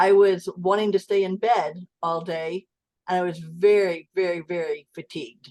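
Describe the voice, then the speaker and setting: In a normal speaking voice, a woman talks at a medium pitch and a fairly slow pace. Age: 60s. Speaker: client sharing health story. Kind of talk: interview testimony.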